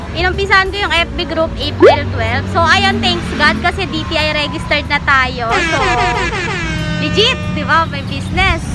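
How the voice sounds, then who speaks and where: A woman speaks with loud music in the background. The sound is dry, with no echo. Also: moderate pace. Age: 20s. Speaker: vlogger and student business owner; vlogger. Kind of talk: casual vlog talk. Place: garden. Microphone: phone near.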